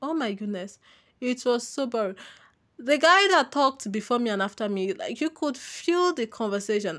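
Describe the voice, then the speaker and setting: In a very clean recording with a silent background, a woman speaks in a high pitch with very wide pitch swings. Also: moderate pace. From Nigeria. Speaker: podcaster. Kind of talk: casual monologue.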